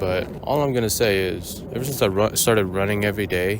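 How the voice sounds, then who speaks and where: A man talks at a moderate pace in a fairly low voice. There is audible room echo and noticeable background noise. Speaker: running vlogger. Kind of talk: casual vlog monologue. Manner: monotone; rambling, hesitant with fillers.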